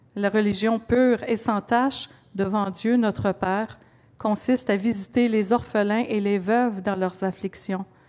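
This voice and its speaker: A woman with a medium pitch speaks at a fairly slow pace with fairly even intonation. Hers is a plain, everyday voice. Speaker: scripture reader. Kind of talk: reading aloud.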